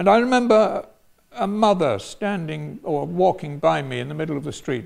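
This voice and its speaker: The speaker is a man with an English accent. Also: quiet background. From England, London. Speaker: retired professor and former priest. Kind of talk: personal storytelling talk. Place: hall.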